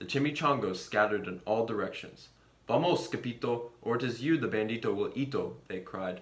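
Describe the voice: Plain reading aloud is all this recording holds.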